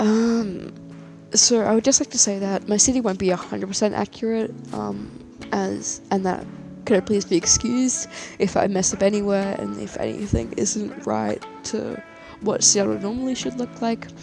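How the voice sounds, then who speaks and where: At a moderate pace, a woman talks with music in the background. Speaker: city-building game creator. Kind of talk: casual gameplay commentary. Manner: hesitant, many fillers.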